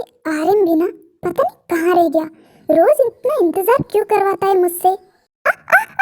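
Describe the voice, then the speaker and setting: A woman's put-on character voice, extremely high in pitch, with lively intonation and a dry, close sound with no echo. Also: moderate pace. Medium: fan dub.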